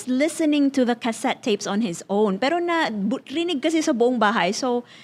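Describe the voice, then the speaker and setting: Lively in intonation, a woman speaks at a moderate pace with a high pitch. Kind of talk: code-switching between Tagalog and English.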